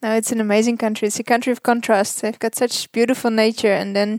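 A woman with a Dutch accent talks at a very fast pace with a fairly high pitch and monotone, flat intonation. The sound is dry and close with no echo. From Netherlands. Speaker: wildlife relocation worker. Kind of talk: interview. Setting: hotel room.

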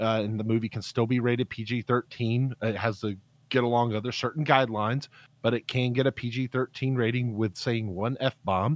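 A man at medium pitch and moderate pace in a plain, everyday voice, dry and close with no echo, on a very clean recording with a silent background. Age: 30s. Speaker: podcast guest. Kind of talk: casual chat.

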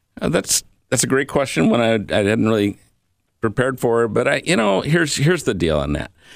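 In an Inland North accent, a man speaks at a fairly quick pace and medium pitch with vocal fry, very wide pitch swings and very even loudness, on a very clean recording with a silent background. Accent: US Midwest (Inland North). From Michiana area (northern Indiana / southwest Michigan), US Midwest. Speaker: health insurance and Medicare advisor. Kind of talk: radio interview.

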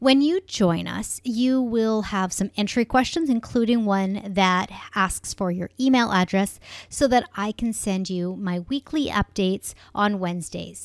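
In a very clean recording with a silent background and a dry, close sound with no echo, a woman with an unremarkable speaking voice talks fairly slowly at medium pitch with ordinary pitch variation. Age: 40s. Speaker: podcast host and online business coach. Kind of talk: solo podcast monologue.

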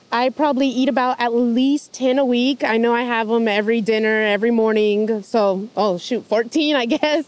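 Here is a plain, everyday voice from a woman, fairly high in pitch with fairly even intonation. She keeps a moderate pace with hardly any pauses. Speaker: farmer's market coordinator. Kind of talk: casual interview.

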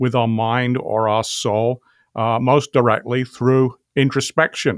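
Recorded very cleanly against a silent background, with a dry, close sound and no echo, a man speaks at a fairly slow pace and a medium pitch. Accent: British. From England. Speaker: philosophy professor. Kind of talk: interview discussion.

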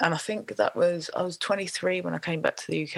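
A woman with a London accent, in a dry, close sound with no echo. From South East London. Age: 40s. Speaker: singer-songwriter and music producer. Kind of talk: interview conversation.

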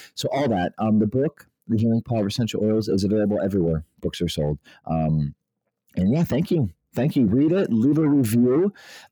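Dark and mellow in tone, the voice moves at a fairly quick pace with very wide pitch swings and very even loudness, in a dry, close sound with no echo. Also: man, medium pitch for a man. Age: 40s. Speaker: aromatherapist and chiropractor. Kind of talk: interview.

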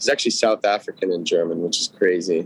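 A man speaks with a Californian accent. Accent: Californian American. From Los Angeles, Studio City. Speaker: musician. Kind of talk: casual interview.

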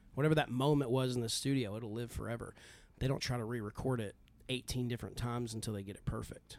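Someone with a Texan accent talks at a very fast pace. The loudness swings a lot, while the intonation stays fairly even. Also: man, medium pitch for a man. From West Texas (near Lubbock). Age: 40s. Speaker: country singer and bandleader. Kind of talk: interview.

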